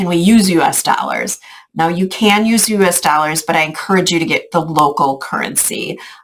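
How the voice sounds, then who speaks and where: A woman with a fairly low pitch uses an ordinary speaking voice, with ordinary pitch variation and a moderate pace. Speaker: travel group organizer. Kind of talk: casual video update to travel group. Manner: filler-heavy, informal.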